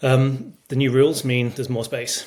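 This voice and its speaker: Somewhat breathy, a man with a Manchester accent speaks at a medium pitch. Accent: English, Manchester area. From northern England, Cheshire near Manchester. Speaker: strength and conditioning coach, sports scientist. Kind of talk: podcast interview. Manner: hesitant, many fillers.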